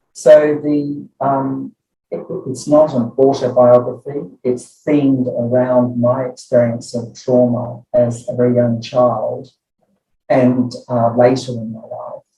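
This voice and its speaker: With music in the background, a man speaks very slowly at medium pitch with monotone, flat intonation. His loudness swings widely. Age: 70s. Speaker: clinical psychology professor. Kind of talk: interview.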